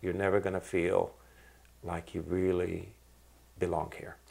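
With an American accent, a man of very deep, low pitch talks at a moderate pace in monotone, flat intonation, leaving long, frequent pauses. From Iraq (childhood), then US from 1966. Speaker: restaurant owner, artist and activist; interviewee. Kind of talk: interview. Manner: halting, many repetitions and fillers. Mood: reflective, earnest. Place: home room.

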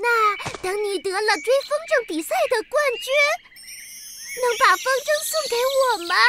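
A cartoonish character voice, extremely high-pitched and fairly slow, with long, frequent pauses

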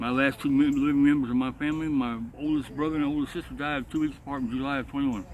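A man's fairly high voice in a Southern US accent, monotone and flat, very fast, dry with no echo, light background noise. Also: hardly any pauses. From Georgia, US South. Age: 50s. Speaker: homeless veteran; interviewee. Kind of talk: street interview. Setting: outdoors. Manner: halting. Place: open country. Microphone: phone near.

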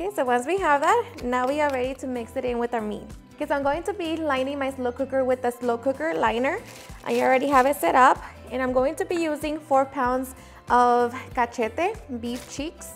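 Faint music plays in the background as the speaker talks at a fairly quick pace with ordinary pitch variation. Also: woman, high pitch for a woman. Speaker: home cooking channel host. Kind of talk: tutorial. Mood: warm, upbeat. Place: kitchen. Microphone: lapel.

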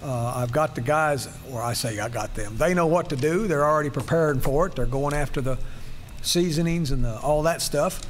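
Light background noise behind a man's moderately paced speech. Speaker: church pastor or leader. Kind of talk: church announcement. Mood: warm, lightly humorous. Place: church.

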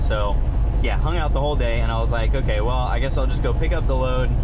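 A man's fairly quick speech is heard against loud background noise. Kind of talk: casual vlog chat. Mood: mildly frustrated, relaxed. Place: car.

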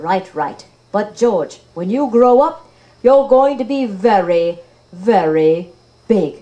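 A cartoonish character voice, female-sounding and medium in pitch, speaks at a very slow pace. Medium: puppet. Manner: gentle, patient, motherly.

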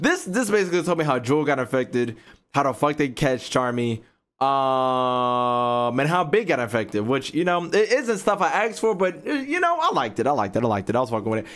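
The voice moves at a fairly quick pace. Its pitch swings very widely. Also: man. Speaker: streamer reacting to comics. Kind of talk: casual reaction commentary. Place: home room.

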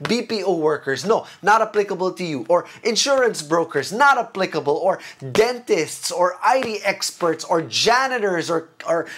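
The voice has lively intonation and a fairly slow pace, with light background noise. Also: man. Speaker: preacher giving online talk. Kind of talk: sermon. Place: home room. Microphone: lapel.

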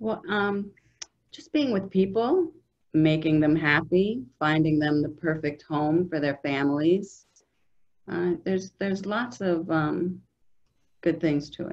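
A woman speaks fairly slowly at a fairly low pitch, with ordinary pitch variation and big swings in loudness. Her long, frequent pauses stand out against a quiet background. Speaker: real estate broker. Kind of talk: interview. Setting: office. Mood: friendly, upbeat. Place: office. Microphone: video call.

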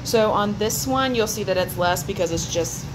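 The speech has ordinary pitch variation. There is noticeable background noise. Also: woman. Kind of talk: casual vlog chat. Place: kitchen. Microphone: phone near.

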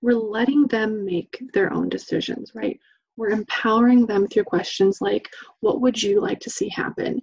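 Somewhat breathy and fairly high, a woman with an American accent speaks at a moderate pace with ordinary pitch variation and a dry, close sound with no echo. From Idaho, US. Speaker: domestic violence training specialist. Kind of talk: webinar presentation. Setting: online webinar.

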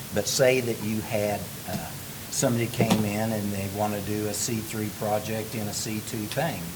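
Soft-spoken and monotone with flat intonation, the voice carries audible room echo over noticeable background noise. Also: man, fairly low pitch for a man, moderate pace. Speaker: planning commissioner. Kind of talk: public meeting discussion. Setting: city council meeting.

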